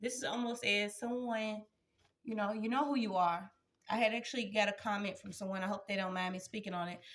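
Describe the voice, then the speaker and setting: A woman's medium-pitched voice at a moderate pace, with fairly even intonation. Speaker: tarot energy reader. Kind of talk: spiritual reading to viewers. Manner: loud, projecting.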